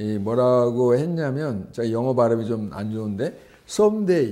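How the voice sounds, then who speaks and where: With a dark, mellow tone and very wide pitch swings, a man speaks at a very slow pace amid audible room echo. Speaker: art journalist and lecturer. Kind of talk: lecture. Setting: gallery talk with audience. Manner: halting, many fillers.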